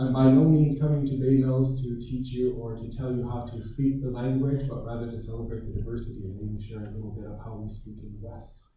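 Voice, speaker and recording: Talking fairly quickly with hardly any pauses, a man uses an unremarkable speaking voice with an American accent. His loudness swings a lot. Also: medium pitch for a man, fairly even intonation. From Minnesota, US Midwest. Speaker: Ojibwe language and culture teacher. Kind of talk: lecture. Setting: presentation over Zoom to an audience.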